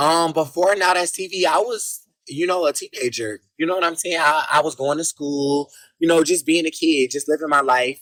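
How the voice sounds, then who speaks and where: Here a man talks in a fairly high pitch at a moderate pace. His pitch varies in an ordinary way, and the sound is dry and close with no echo. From US South, Jacksonville, Florida. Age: 20s. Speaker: reality TV personality. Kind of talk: interview. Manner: relaxed, many fillers.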